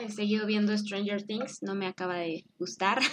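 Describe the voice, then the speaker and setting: A woman speaks at a fairly high pitch. Her pace is moderate. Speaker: podcast host. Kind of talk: casual chat.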